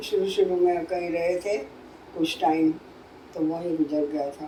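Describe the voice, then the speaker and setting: With noticeable background noise behind her, a woman speaks with ordinary pitch variation. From Multan region, Pakistan (Punjab). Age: 80s+. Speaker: partition survivor. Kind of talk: interview answer.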